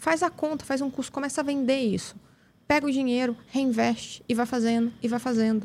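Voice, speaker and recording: A woman talks at a fairly quick pace in a high pitch, varying it in an ordinary way. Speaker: method specialist, education entrepreneur. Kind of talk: interview conversation. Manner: fast.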